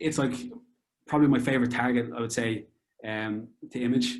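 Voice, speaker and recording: A man speaks with a Dublin accent. His pitch sits in the medium range. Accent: Irish (Dublin). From Dublin, Ireland. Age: 30s. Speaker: amateur astrophotographer. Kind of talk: interview answer.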